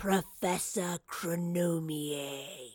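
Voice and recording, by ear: Performing a put-on character voice, a woman speaks very slowly in a fairly low pitch with ordinary pitch variation. Her tone is slightly mellow with a slightly husky edge, on a very clean recording with a silent background.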